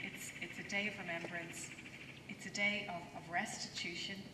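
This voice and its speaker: A woman speaks at a moderate pace. Loud noise fills the background. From Ireland. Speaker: diplomat. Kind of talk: ceremonial speech. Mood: somber, respectful. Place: open country. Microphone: podium.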